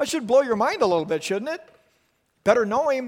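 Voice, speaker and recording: A man with an American accent and lively intonation. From southern California, later Montana. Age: 50s. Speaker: youth pastor. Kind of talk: sermon. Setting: youth group meeting room with teenage audience.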